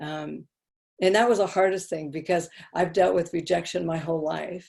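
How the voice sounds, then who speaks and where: In a fairly low voice with vocal fry, a woman talks at a moderate pace with fairly even intonation. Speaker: speaker on addiction recovery and faith. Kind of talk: personal testimony in an online interview. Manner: loud.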